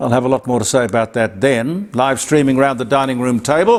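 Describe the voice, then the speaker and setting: A fairly high-pitched man with an Australian accent, amid noticeable background noise. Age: 80s+. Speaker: broadcaster and commentator. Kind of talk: casual commentary. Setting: studio. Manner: halting.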